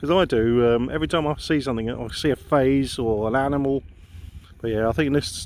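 The sound is dry, with no echo. A man speaks with ordinary pitch variation. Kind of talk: casual vlog commentary. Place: open country. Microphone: phone near.

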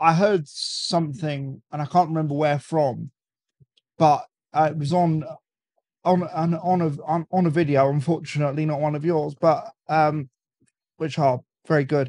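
A man in a British accent with monotone, flat intonation. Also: fairly high pitch for a man, moderate pace. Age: 20s. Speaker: cigar enthusiast guest. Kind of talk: casual chat. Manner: stammering, repeats words often.

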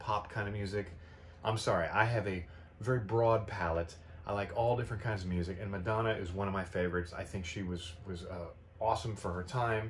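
A man speaks fairly quickly in a fairly low, somewhat breathy voice. His intonation stays fairly even over light background noise. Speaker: vinyl collector vlogger. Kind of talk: casual vlog chat. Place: home room. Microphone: camera far.

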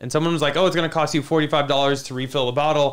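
Speaking very fast, a man delivers his words in a flat monotone. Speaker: livestream host. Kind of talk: casual livestream commentary. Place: studio. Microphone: studio mic.

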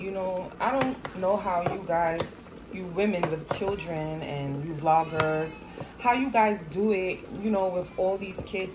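A woman speaks at a fairly slow pace, her pitch fairly low with ordinary variation. Background noise is noticeable. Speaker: home cook vlogger. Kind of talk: casual vlog chat. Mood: a bit stressed, apologetic. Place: kitchen. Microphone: phone near.

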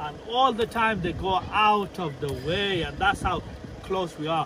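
Over noticeable background noise, a man projects a raised voice at a high pitch for a man. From Sheffield, England (came from abroad aged five). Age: 40s. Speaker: vlogger. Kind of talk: casual vlog narration. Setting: outdoors and in a car.

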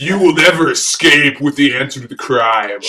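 A man with a fairly high pitch talks at a moderate pace. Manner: menacing, gloating.

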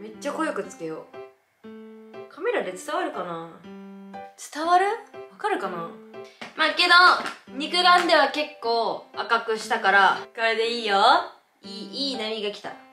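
A woman talks with long, frequent pauses and big swings in loudness. Audible room echo and faint background music accompany her. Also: moderate pace. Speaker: vlogger. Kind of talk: casual vlog chat. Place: home room. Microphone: camera far.

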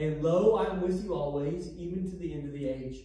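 There is strong room echo around a man's voice. He speaks at a high pitch with fairly even intonation. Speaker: pastor teaching. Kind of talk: sermon. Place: church.

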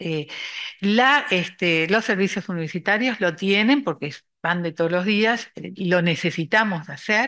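A woman's bright, sharp tone at a fairly slow pace against a quiet background. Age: old. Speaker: retired psychology professor. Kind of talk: panel discussion. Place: meeting room. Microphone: podium.

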